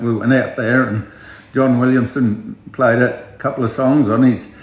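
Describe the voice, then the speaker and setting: A man speaks with a rural Australian accent at a medium pitch and with fairly even intonation. Noticeable background noise can be heard. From Outback Queensland, Australia. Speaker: outback pub owner. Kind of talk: interview answer. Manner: hesitant, casual.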